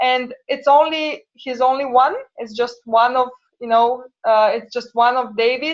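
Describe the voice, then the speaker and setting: A woman with a Romanian accent and a high pitch speaks at a fairly slow pace with fairly even intonation. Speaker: translator and entrepreneur. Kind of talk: interview. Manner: hesitant, many fillers.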